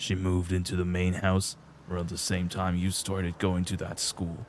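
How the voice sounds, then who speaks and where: A man uses a put-on character voice with a very deep, low pitch and monotone, flat intonation. He goes at a moderate pace over clear background noise. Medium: game stream. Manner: courteous, calm, lightly teasing.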